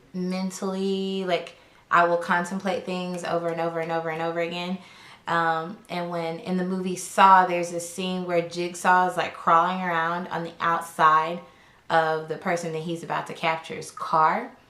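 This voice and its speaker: Delivered in an Arkansas accent, the voice has a bright, sharp tone and a monotone, flat intonation, with audible room echo. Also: woman, fairly low pitch for a woman, moderate pace. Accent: Southern US (Arkansas). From US South, Arkansas. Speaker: lifestyle YouTuber. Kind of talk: casual chat.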